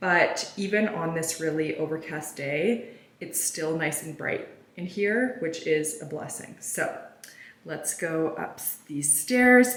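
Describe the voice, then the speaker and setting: A woman with a fairly low voice speaks at a very slow pace, her intonation lively and her loudness swinging widely. Audible room echo and noticeable background noise fill the recording. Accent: Canadian. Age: 30s. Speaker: lifestyle vlogger. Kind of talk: vlog house tour. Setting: indoors, empty house. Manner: casual, chatty.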